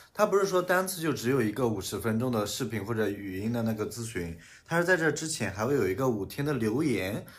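Speaking at a very fast pace, a man with a somewhat breathy voice swings his pitch very widely, and audible room echo surrounds him. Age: 20s. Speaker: podcast co-host. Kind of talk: casual chat.

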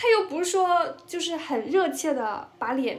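Lively intonation with audible room echo and noticeable background noise. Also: woman. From northern China. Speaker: podcast co-host. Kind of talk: casual chat.

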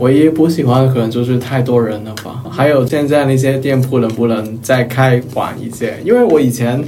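A man with a Cantonese accent speaks in a medium-pitched voice, with audible room echo and noticeable background noise. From Hong Kong. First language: Cantonese (speaking Chinese). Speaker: office worker. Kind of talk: casual chat.

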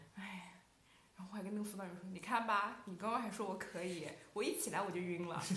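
Amid noticeable background noise and audible room echo, a woman talks at a very fast pace in an animated tone. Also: medium pitch for a woman. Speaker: student podcast co-host. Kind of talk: casual chat.

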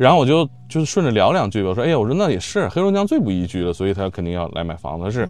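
Talking at a very fast pace, a man uses a fairly low pitch with very wide pitch swings. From Shenyang, northeast China. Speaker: podcast host. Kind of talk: casual panel chat. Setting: outdoor stage with audience.

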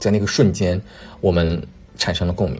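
A man speaks at a very fast pace, his voice very deep and low in pitch and somewhat breathy. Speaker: podcast host. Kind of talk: casual solo monologue. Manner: hesitant with frequent fillers and repetitions.

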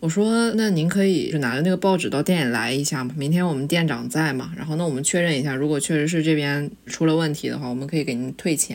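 Speaking at a fairly quick pace, a woman with a very deep, low pitch uses lively intonation. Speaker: graduate student. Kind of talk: casual chat.

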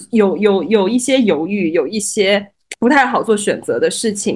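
This is a woman's voice. It has a fairly high pitch. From Shanghai, Changning district. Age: 30s. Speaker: guest co-host. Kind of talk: casual chat.

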